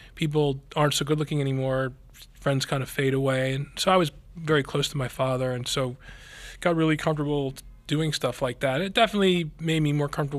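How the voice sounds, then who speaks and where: Very fast and fairly even in intonation, a man with an American accent speaks at a fairly high pitch. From Philadelphia area, US. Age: 50s. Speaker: neurosurgeon. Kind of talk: interview.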